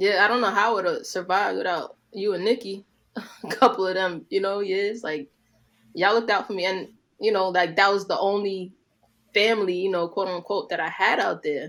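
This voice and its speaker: In a New York accent, a woman with a medium-pitched voice speaks with fairly even intonation. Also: moderate pace. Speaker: podcast co-host. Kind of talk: casual chat.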